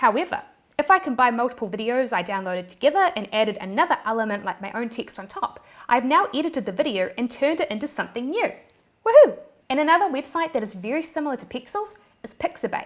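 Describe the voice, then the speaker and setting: Talking at a very fast pace, a woman with a New Zealand accent uses a high pitch and very wide pitch swings. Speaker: YouTube creator. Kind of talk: tutorial. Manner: animated.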